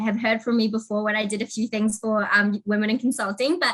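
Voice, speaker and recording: With a New Zealand accent, a woman speaks at a fairly quick pace in a fairly high, bright, sharp voice. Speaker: technology consulting manager. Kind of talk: interview.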